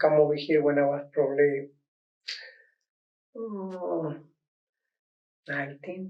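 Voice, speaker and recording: A man with a Mexican accent speaks at a fairly high pitch and a very slow pace, with ordinary pitch variation. Long, frequent pauses and big swings in loudness mark his delivery. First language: Spanish. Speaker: dancer and youth dance teacher. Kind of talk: documentary interview. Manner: halting.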